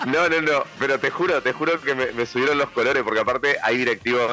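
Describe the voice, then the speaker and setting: Against noticeable background noise, a man talks at a very fast pace with ordinary pitch variation. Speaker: radio panelist. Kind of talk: casual chat. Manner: halting, many repetitions.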